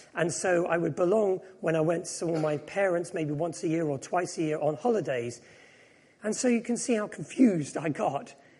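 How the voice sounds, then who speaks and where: A high-pitched man at a moderate pace, with ordinary pitch variation and audible room echo. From England, raised at English boarding school after Japan and Hong Kong. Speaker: preacher, former actor. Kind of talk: sermon.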